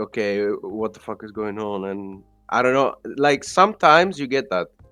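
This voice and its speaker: The speaker talks at a fairly slow pace with a non-native accent. The background is quiet. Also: man. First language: not English. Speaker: podcast co-host, crypto trader. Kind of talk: casual chat. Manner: halting.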